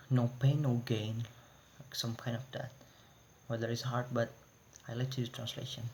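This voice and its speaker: A man's somewhat breathy, medium-pitched voice with an Indonesian accent, monotone, flat intonation and long, frequent pauses. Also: moderate pace. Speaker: university student. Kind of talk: class presentation. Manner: halting.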